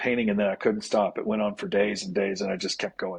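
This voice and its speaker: Lively intonation and a moderate pace in a man's voice, a plain, everyday voice. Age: 60s. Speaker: spiritual guide and former minister. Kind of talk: interview.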